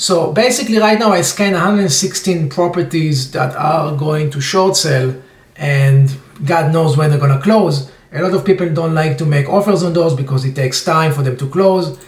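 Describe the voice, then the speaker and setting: In a room with audible echo, a man speaks at a fairly high pitch with ordinary pitch variation. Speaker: real estate investor. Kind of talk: tutorial. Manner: fast. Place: home room. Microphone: webcam.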